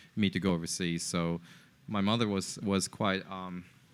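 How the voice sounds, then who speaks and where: A man with a Japanese accent and a very deep, low pitch at a moderate pace, on a very clean recording with a silent background. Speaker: entrepreneur. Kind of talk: podcast interview. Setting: in person in a co-working space. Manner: halting, many fillers and repetitions.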